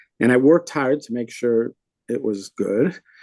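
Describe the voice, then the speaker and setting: This man talks at a fairly slow pace, medium in pitch with a dark, mellow tone. The sound is dry and close, with no echo. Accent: Wisconsin. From US Midwest, Milwaukee, Wisconsin. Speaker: rabbi, podcast co-host. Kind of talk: casual chat. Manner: animated.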